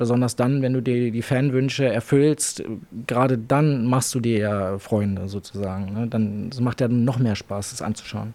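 Fairly even in intonation, a man speaks in a dark, mellow tone. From Berlin. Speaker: adult content creator. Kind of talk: interview. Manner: casual, filler-heavy.

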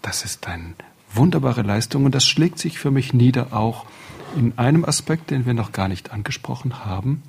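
A man's voice, medium in pitch, moves along at a moderate pace. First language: French (speaking German). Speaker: radio executive, panel guest. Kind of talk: panel discussion.

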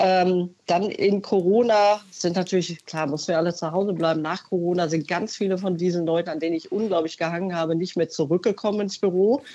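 Speaking at a fairly quick pace, a woman has an ordinary speaking voice with a fairly low pitch. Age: 50s. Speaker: caller, consumer research employee. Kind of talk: phone-in testimony. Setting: phone call.

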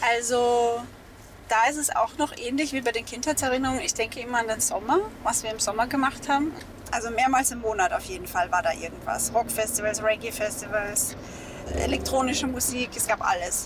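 Noticeable background noise sits behind this woman. She has a high pitch and a fairly quick pace. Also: ordinary pitch variation. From Austria, Mittelburgenland. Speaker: novelist. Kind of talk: casual interview on location.

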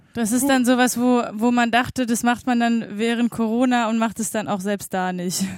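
With an unremarkable speaking voice, a woman talks at a fairly high pitch and moderate pace, using fairly even intonation and hardly any pauses. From eastern Germany, Schwedt/Oder. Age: 40s. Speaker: radio co-host. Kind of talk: casual chat.

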